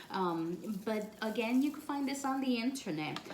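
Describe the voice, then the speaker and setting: Here a woman talks at a fairly slow pace. Noticeable background noise and audible room echo fill the recording. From Puerto Rico. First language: Spanish. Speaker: spiritual practice vlogger. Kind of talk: tutorial. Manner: casual, with frequent fillers.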